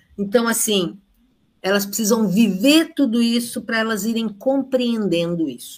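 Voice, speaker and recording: At a moderate pace, a woman speaks with a fairly high, somewhat breathy voice. Her intonation is lively. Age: 70s. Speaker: retired education professor. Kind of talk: online lecture. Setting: live stream.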